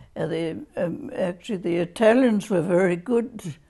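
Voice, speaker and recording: An Australian-accented woman speaks fairly slowly at a medium pitch, her tone dark and mellow and somewhat breathy. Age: 80s+. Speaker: interviewee. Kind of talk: oral history interview. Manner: halting.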